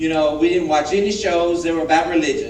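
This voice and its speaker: A man with an American accent and fairly high pitch, amid audible room echo and noticeable background noise. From US South, Alabama. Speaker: guest speaker. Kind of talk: testimony.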